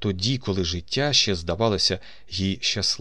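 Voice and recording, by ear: This is reading aloud. The voice sounds natural.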